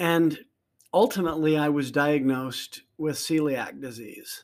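On a very clean recording with a silent background, a man with a fairly high pitch talks at a moderate pace with fairly even intonation, an unremarkable speaking voice. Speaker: life coach podcaster. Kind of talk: casual conversation.

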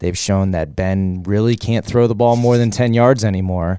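A man at medium pitch with a dark, mellow tone and ordinary pitch variation, on a very clean recording with a silent background. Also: dry, close sound with no echo. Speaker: sports podcast co-host. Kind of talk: casual sports chat.

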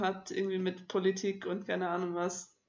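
The delivery is at a moderate pace with monotone, flat intonation. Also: woman. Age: 20s. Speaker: podcast co-host. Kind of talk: casual chat.

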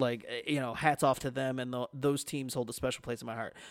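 Fairly quick and fairly even in intonation, this man has an unremarkable speaking voice at a fairly high pitch. The recording is very clean with a silent background, its sound dry and close with no echo. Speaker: podcast host, guest on sports podcast. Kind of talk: casual chat.

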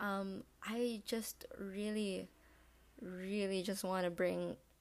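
This woman's medium-pitched voice holds a fairly even intonation. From Philippines. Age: 19. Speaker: podcast host, college student. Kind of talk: casual solo monologue. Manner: rambling, with fillers.

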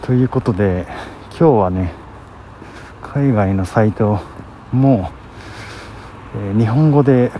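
A man speaks with a fairly low pitch, leaving long, frequent pauses. Noticeable noise sits in the background. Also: ordinary pitch variation, fairly slow pace. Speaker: vlogger. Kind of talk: casual monologue. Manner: soft-spoken.

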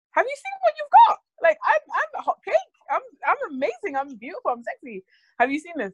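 The pitch swings very widely as the speaker talks at a fairly quick pace. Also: woman, extremely high pitch for a woman. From Ireland. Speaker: podcast co-host. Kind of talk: casual chat.

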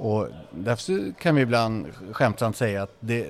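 With music in the background, this man's intonation is lively. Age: 50s. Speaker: football academy director. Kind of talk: casual interview. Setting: restaurant.

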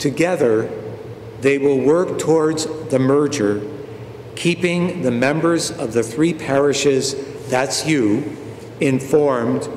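Over noticeable background noise, a man talks very slowly at a fairly high pitch with ordinary pitch variation. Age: 70s. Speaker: parish priest. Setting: church, recorded for online viewing.

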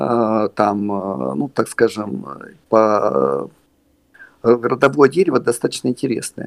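The speech is very slow. The sound is dry and close with no echo. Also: man. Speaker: theatre puppeteer and actor. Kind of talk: casual interview conversation. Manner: rambling, halting, humorous.

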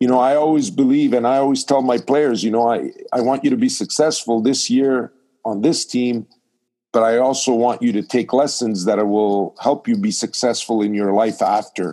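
His tone is dark and mellow, and the man's pitch is medium. He keeps a very even loudness with ordinary pitch variation. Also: moderate pace. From Montreal, Canada. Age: 60s. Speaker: ice hockey coach. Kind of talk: interview. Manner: halting, many fillers and repetitions.

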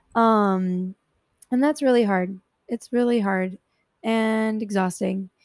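A woman speaks very slowly at a fairly high pitch with ordinary pitch variation and long, frequent pauses, the sound dry and close with no echo. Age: 20s. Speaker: solo podcast host. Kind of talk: casual personal monologue. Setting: home room with a fan running. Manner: casual with frequent fillers.

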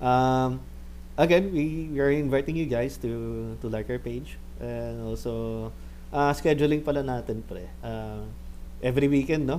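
Talking at a fairly slow pace, a man is heard with audible room echo. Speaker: gaming podcast host. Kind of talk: casual chat. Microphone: poor audio in first episode.

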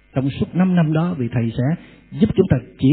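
A man's fairly high-pitched voice with very wide swings in pitch. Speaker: Buddhist monk giving a Dharma talk. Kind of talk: Dharma lecture with Q&A. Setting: temple hall with audience.

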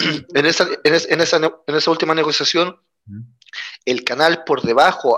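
A man speaks fairly quickly with a fairly high pitch and a bright, sharp tone. His intonation stays fairly even. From Chile. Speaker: trade unionist. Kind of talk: interview conversation.

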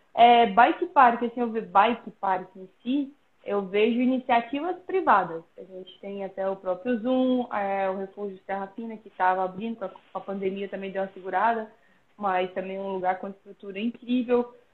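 A woman's plain, everyday voice at a medium pitch and moderate pace, with ordinary pitch variation and big swings in loudness. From Brazil, Pirenópolis, Goiás. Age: 30s. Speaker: professional mountain bike athlete. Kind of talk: casual interview. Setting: Instagram live video call.

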